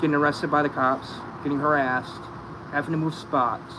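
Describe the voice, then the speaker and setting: Noticeable background noise sits behind a man speaking at a fairly quick pace. His fairly high voice has a monotone, flat intonation. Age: 30s. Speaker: recovering addict. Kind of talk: casual chat.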